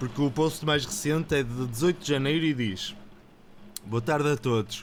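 Here a man is talking. His pitch runs fairly high. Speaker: podcast co-host. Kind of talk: casual chat.

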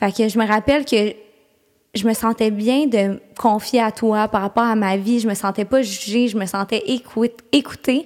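A woman speaks with a fairly high pitch. Her pace is fairly slow and her intonation fairly even. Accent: Quebec. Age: 20s. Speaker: podcast co-host. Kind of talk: casual chat.

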